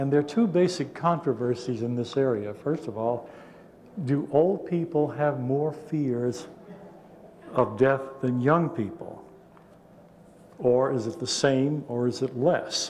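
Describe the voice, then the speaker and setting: A man with a fairly high pitch and ordinary pitch variation speaks at a fairly slow pace with long, frequent pauses and audible room echo. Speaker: psychology professor. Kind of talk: conference talk. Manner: halting.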